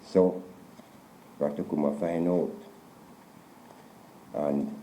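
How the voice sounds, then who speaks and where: At a very slow pace, a man talks with a Jamaican accent. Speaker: storyteller. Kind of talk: folktale telling in interview.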